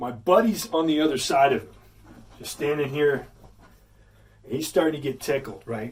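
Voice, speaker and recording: A man with a Texan accent, fairly high-pitched for a man and somewhat breathy, at a moderate pace with ordinary pitch variation. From Texas. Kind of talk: casual storytelling to camera.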